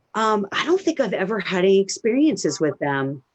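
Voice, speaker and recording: Someone with an American accent speaks at a moderate pace, the pitch swinging very widely. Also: woman. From Maryland, US. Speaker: medium and live stream host. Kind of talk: casual live stream chat. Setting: Facebook live video stream.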